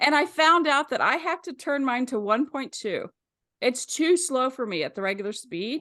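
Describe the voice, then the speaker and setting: A woman projects a raised voice with a bright, sharp tone, her high pitch moving through very wide swings. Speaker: author hosting video chats. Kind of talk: casual chat. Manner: fast.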